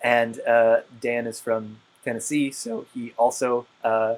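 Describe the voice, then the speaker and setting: The speaker has an Appalachian accent and talks at a very slow pace. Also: man. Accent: Appalachian pronunciation. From West Virginia. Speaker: co-host. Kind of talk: casual chat. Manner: halting, many fillers.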